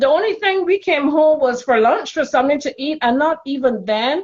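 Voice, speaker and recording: A woman with a Caribbean accent speaks with lively intonation. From Caribbean, Barbados. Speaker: spiritual intuitive, childcare worker. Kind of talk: casual interview chat.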